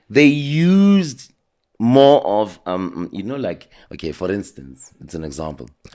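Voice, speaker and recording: A man with a South African accent speaks at a fairly slow pace and a medium pitch, his pitch swinging very widely. The recording is very clean, with a silent background. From South Africa, Soweto. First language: isiZulu. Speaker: interview guest. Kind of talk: casual interview.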